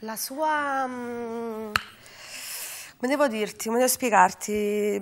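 At a very slow pace, a woman talks in a high pitch. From Naples, Capodichino; Naples. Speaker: singer; interview guest. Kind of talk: interview. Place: studio. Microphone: lapel.

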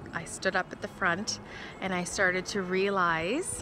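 Speaking at a fairly slow pace, a woman uses monotone, flat intonation. The sound is dry with no echo, though there is noticeable background noise. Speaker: vlogger. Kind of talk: casual vlog chat. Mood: warm, heartfelt, smiling. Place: open country. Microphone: phone near.

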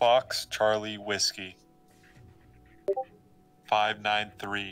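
A man performs a put-on character voice, fairly low in pitch. His intonation is monotone and flat, with faint music in the background. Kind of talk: clipped radio call.

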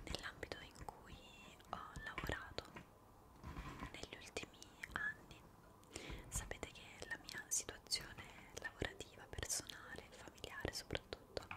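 A woman whispers, soft-spoken and fairly slow. Long pauses come often. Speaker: ASMR creator. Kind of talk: soft-spoken casual chat. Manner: soft intimate whisper. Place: home room.

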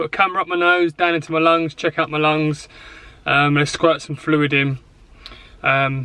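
At a moderate pace, a man talks in a bright, sharp tone, the sound dry with no echo over a quiet background. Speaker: vlogger. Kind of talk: casual vlog chat. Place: car. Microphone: phone near.

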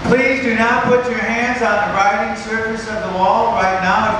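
A man speaks at a moderate pace in a raised, projected voice, with strong room echo and noticeable background noise. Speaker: show announcer. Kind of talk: public safety announcement. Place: stage.

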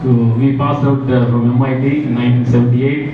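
A man speaks with audible room echo and music playing in the background. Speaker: guest. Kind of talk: informal speech. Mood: warm, proud, reminiscing. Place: hall. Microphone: pa.

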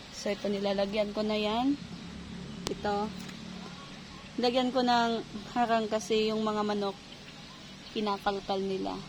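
A woman talks at a fairly slow pace and a fairly high pitch, with monotone, flat intonation. She leaves long, frequent pauses, and background noise is noticeable. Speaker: vlogger, ESL teacher and home gardener. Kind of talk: casual garden vlog. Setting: outdoors in garden. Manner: casual, halting with fillers.

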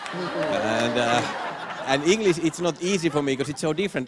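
Light background noise sits under the recording. A man talks at a moderate pace. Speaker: stand-up comedian. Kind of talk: stand-up comedy routine. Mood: playful, deadpan pauses. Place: stage. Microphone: handheld.

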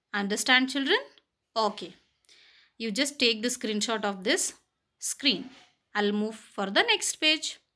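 A woman's bright, sharp, fairly high voice at a fairly slow pace with long, frequent pauses, on a very clean recording with a silent background. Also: ordinary pitch variation. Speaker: school teacher. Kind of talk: reading aloud; lecture.

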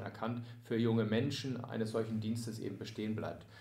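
A man talks at a moderate pace with medium pitch. Audible room echo and noticeable background noise surround him. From near Hamburg, Lower Saxony, Germany. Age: 30s. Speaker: sports club volunteer service manager. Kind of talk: casual interview.

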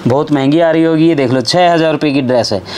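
A man talks fast with a fairly high pitch and ordinary pitch variation. Clear background noise runs behind him.

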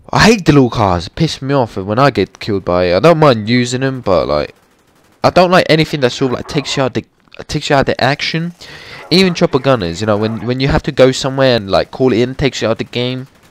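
A man's very fast speech with lively intonation, dry and close with no echo. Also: medium pitch for a man. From Latvia. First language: Latvian. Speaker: gaming video creator. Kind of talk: gameplay commentary. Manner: animated.

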